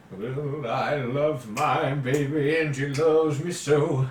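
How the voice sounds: With a slight echo, a man does a put-on character voice at a fairly slow pace. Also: fairly high pitch for a man.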